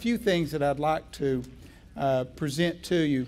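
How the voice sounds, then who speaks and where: The speaker, with a Southern US accent, uses ordinary pitch variation. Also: man. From Virginia. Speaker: education speaker. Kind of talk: keynote presentation.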